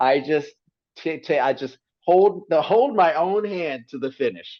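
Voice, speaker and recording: A man talks with lively intonation at a fairly high pitch. His is an unremarkable speaking voice. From US South, southern Mississippi. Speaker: TV meteorologist. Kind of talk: casual interview chat.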